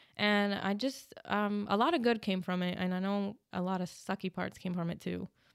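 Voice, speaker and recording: A woman with an American accent has an ordinary speaking voice at medium pitch and fairly even intonation. She keeps a moderate pace with hardly any pauses on a very clean recording with a silent background. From New Jersey. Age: 20s. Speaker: Marine Corps veteran. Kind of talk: interview.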